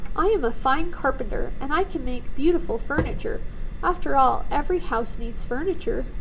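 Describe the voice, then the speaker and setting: A woman puts on a character voice pitched extremely high, speaking at a moderate pace. Loud background noise runs underneath. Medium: read story.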